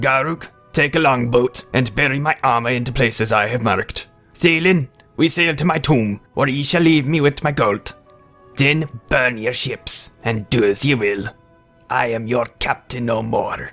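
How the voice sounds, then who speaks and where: A man in a raspy, put-on character voice at medium pitch and a moderate pace, with faint music in the background. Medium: read story. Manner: menacing, commanding.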